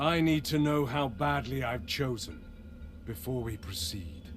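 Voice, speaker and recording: A man does a put-on character voice at medium pitch with clear background noise behind him. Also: moderate pace. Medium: video game. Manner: haughty, commanding, theatrical.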